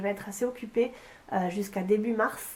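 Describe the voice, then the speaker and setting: A woman with a fairly high pitch and a dark, mellow tone speaks at a fairly quick pace. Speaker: vlogger and English teacher. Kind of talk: casual vlog. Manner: hesitant, many fillers.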